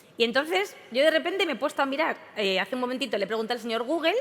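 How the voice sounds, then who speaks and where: Music plays in the background as a woman talks at a very fast pace in an animated tone. Her high voice moves through very wide pitch swings. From Spain. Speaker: event presenter. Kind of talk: comic stage introduction.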